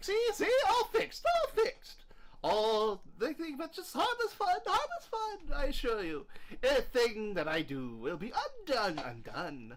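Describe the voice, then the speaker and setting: Someone talks in a put-on character voice at a moderate pace, with clear background noise behind. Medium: actual play. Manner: cheerful, playful.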